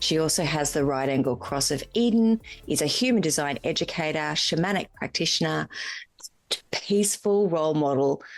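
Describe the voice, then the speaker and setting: With an Australian accent, a woman speaks at a moderate pace in a very deep, low pitch. Her intonation is lively and her loudness very even. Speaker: podcast host. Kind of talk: podcast interview.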